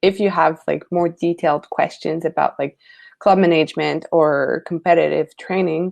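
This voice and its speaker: A woman with a Quebec accent at a fairly low pitch and fairly slow pace, in a dry, close sound with no echo against a quiet background. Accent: Québécois French accent in English. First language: French. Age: 20s. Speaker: lifesaving sport coach. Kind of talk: webinar presentation. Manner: hesitant, searching for words.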